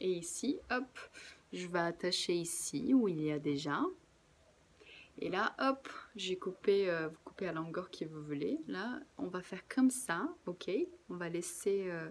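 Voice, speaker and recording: This woman's voice is fairly low in pitch, with lively intonation. She speaks at a very slow pace, leaving long, frequent pauses. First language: Portuguese (speaking French). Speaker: craft workshop presenter. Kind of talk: tutorial. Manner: casual, relaxed.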